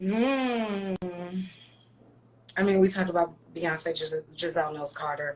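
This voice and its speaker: The speaker has an American accent and a fairly slow pace. Pitch variation is ordinary, with long, frequent pauses. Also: woman, fairly low pitch for a woman. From US South. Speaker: performer. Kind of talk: casual chat. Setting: video livestream.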